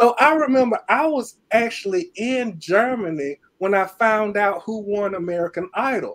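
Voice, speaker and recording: Speaking high for a man, he uses lively intonation at a moderate pace with hardly any pauses. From Alabama, Birmingham. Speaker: keyboardist and producer. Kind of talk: interview. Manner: halting.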